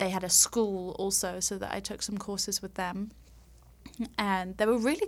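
Her voice sits at a medium pitch, with fairly even intonation and a moderate pace. This woman speaks in a London accent. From London, England. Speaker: makeup artist. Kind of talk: casual interview chat.

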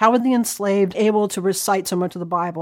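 A woman with an American accent speaks at a moderate pace in an unremarkable speaking voice. Her pitch is medium with ordinary variation, captured in a very clean recording with a silent background. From US South, North Carolina (Catawba County). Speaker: historian. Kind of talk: interview.

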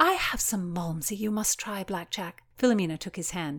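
The pitch varies ordinarily as the words are read aloud in an unforced manner.

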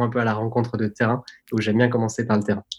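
A man at medium pitch speaks in a monotone, flat intonation, with a dry, close sound and no echo. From French Alps (Tignes, Savoie). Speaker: tech company product executive. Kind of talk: interview.

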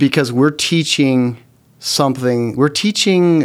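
On a very clean recording with a silent background, a man with an American accent speaks in an ordinary speaking voice at a medium pitch with ordinary pitch variation. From Oklahoma, Norman. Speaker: company CEO, former attorney. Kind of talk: interview.

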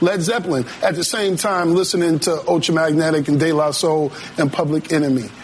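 The pace is fairly quick, with ordinary pitch variation and very even loudness. Background noise is noticeable. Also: man, fairly high pitch for a man. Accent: American. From Massachusetts. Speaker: DJ. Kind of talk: casual interview.

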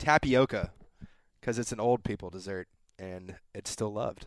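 A man with an American accent at a fairly slow pace, lively intonation, and dry, close sound with no echo on a very clean recording with a silent background. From Texas, San Antonio. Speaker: podcast guest. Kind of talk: casual chat. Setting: studio.

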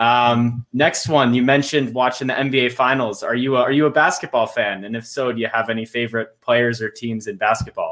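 A man talks in a plain, everyday voice at medium pitch. His intonation is fairly even, with hardly any pauses. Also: fairly quick pace. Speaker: podcast host. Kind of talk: interview.

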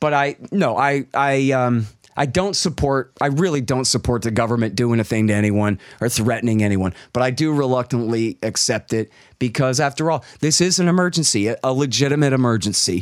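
A man's ordinary speaking voice in an American accent, medium in pitch, with very even loudness and ordinary pitch variation. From Texas. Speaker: libertarian think-tank director. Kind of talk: interview. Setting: video call.

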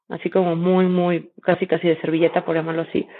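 At a medium pitch, a woman speaks very fast. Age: 30s. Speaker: startup founder and CEO. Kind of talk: interview. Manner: halting, many repetitions.

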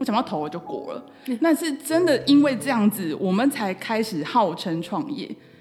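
A woman with a fairly high pitch talks at a moderate pace, her pitch swinging very widely. Music plays in the background. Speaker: entrepreneur. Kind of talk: interview.

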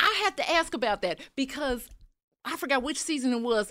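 A woman's high, raised and projected voice with an American accent, lively intonation, a bright, sharp tone and a moderate pace. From US Midwest, Chicago. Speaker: animation artist. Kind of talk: casual chat.

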